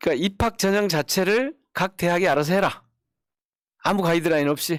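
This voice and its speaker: Dry and close with no echo on a very clean recording with a silent background, a man speaks at a fairly quick pace in a high pitch, with ordinary pitch variation and very even loudness. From South Jeolla, Korea (Gwangju area). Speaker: politician, lawmaker. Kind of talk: political talk show chat.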